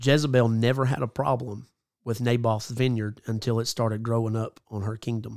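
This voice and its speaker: Over a silent background in a very clean recording, a man talks at a fairly quick pace with fairly even intonation, medium pitch and an ordinary speaking voice. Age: 30s. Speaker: evangelist. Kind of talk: casual chat.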